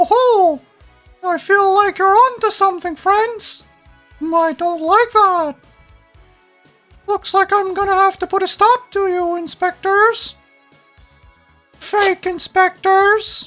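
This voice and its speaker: A man's put-on character voice at an extremely high pitch, fairly slow pace and long, frequent pauses, with faint music in the background. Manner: menacing, scary.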